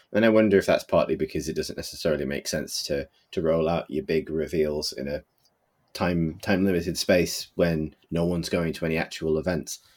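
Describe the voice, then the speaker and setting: A man with a British accent speaks at a fairly quick pace in a very deep, low voice. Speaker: podcast co-host. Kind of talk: casual chat. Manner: animated.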